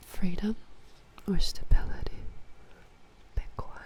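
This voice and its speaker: A woman whispers at a very slow pace, with noticeable background noise behind her. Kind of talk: ASMR-style talk to camera about game factions. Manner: soft, whispering.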